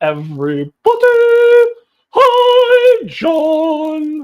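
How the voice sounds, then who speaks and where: This is a put-on character voice with a British accent. The female-sounding voice sits at an extremely high pitch for a woman. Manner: bright, welcoming.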